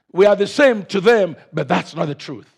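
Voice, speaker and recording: A man with an African accent speaks at a moderate pace in a high voice with ordinary pitch variation, captured in a very clean recording against a silent background. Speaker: pastor. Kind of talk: sermon.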